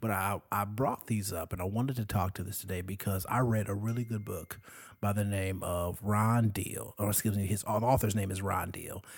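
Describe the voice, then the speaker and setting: A man speaks at a fairly low pitch, somewhat breathy, with fairly even intonation. His pace is moderate, on a very clean recording with a silent background. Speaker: podcast co-host. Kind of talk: casual chat. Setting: home recording at night. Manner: mellow.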